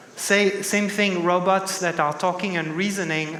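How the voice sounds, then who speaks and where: A man speaks in a French accent at a high pitch and a moderate pace, his intonation fairly even. The recording has audible room echo and noticeable background noise. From France, Paris. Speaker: tech executive, keynote speaker. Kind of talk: conference keynote. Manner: many filler sounds and restarts.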